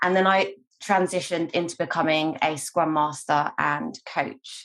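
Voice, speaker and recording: A woman with a London accent speaks at fairly low pitch with lively intonation. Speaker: scrum master and agile coach. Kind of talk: online meetup introduction.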